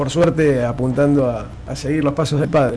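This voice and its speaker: A fairly high-pitched man with monotone, flat intonation and audible room echo. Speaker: rally driver. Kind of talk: radio interview.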